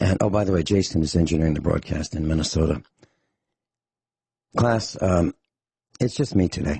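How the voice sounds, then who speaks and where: A man with a very deep, low pitch speaks in a serious tone at a fairly quick pace, his loudness very even and his voice somewhat breathy. His pitch varies in an ordinary way, and he takes long, frequent pauses. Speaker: radio talk show host. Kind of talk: talk radio monologue.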